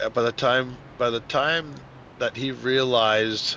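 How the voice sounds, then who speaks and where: The voice has a bright, sharp tone and a New England accent. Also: man. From New England, Boston area. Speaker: sim racing commentator. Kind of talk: live commentary. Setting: live stream. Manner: animated.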